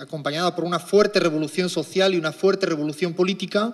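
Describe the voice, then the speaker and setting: A man's voice, high-pitched, with fairly even intonation. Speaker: economist. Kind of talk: lecture.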